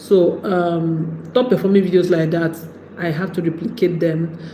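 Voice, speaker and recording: A woman with a Nigerian accent speaks at a moderate pace in a fairly low voice, with noticeable background noise and audible room echo. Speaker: YouTube creator. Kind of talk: livestream talk.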